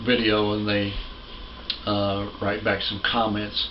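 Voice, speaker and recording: Fairly low male pitch amid noticeable background noise and audible room echo. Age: 60s. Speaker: pastor. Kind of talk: sermon. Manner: halting.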